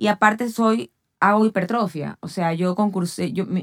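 In a plain, everyday voice, a woman speaks at a moderate pace and medium pitch with ordinary pitch variation, on a very clean recording with a silent background and a dry, close sound with no echo. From Ecuador. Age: 40s. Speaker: athlete and fitness trainer. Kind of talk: casual chat.

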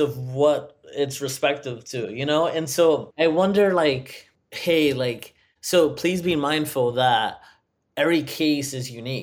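With a plain, everyday voice, a man speaks at a fairly slow pace, fairly high in pitch with ordinary pitch variation. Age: 30s. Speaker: software designer, former divorce client. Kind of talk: interview testimony.

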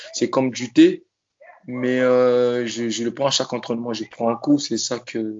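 This man talks at a fairly slow pace and medium pitch, his monotone, flat intonation broken by long, frequent pauses. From Congo-Brazzaville. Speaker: professional boxer. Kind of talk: interview. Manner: halting.

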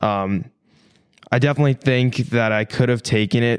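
With a Canadian accent, a man speaks at a moderate pace with a medium pitch and ordinary pitch variation in an ordinary speaking voice. The recording is very clean, with a silent background. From Canada, Ontario (small town outside Toronto). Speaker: fitness content creator and bodybuilder. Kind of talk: casual podcast interview.

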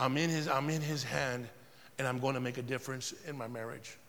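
Here a man talks with an American accent at a moderate pace. His voice is fairly high and his tone animated. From Southern California, Riverside area. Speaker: pastor. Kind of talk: sermon. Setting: church. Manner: animated, repetitive.

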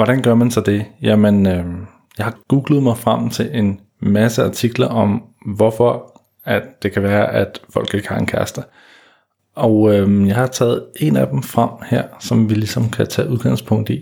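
On a very clean recording with a silent background, a man with a dark, mellow tone and fairly low pitch speaks at a fairly slow pace with ordinary pitch variation. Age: 30s. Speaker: dating coach and podcast host. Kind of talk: solo podcast monologue. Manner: hesitant, many fillers.

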